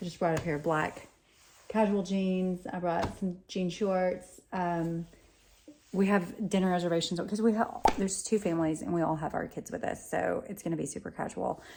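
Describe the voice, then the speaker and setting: A woman at a moderate pace, fairly even in intonation, with noticeable background noise. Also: medium pitch for a woman. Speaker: wellness vlogger. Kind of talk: casual vlog. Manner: soft-spoken; casual, rambling.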